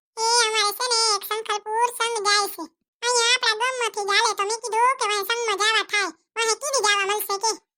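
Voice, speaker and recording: A woman performs a cartoonish character voice at an extremely high pitch with a warm tone. Her delivery is monotone and flat, at a moderate pace. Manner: warm, chatty.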